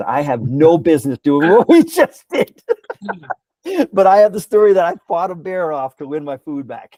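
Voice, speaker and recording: A man speaks in a dark, mellow tone. He has an American accent. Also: dry, close sound with no echo. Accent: Boston accent, stronger when angry. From Cambridge, Massachusetts. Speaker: long-distance hiker and nonprofit founder. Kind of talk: storytelling in casual interview. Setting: podcast. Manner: animated.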